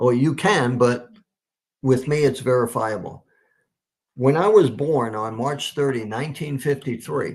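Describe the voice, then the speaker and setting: A somewhat breathy delivery at a fairly slow pace, with long, frequent pauses and ordinary pitch variation. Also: man, medium pitch for a man. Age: 70s. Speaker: Messianic minister. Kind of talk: testimony.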